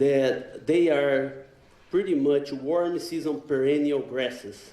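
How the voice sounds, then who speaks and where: A man with a Brazilian accent speaks at a very slow pace and a fairly high pitch. Noticeable background noise and audible room echo come through. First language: Portuguese. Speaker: animal science professor. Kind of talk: conference lecture. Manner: hesitant with fillers.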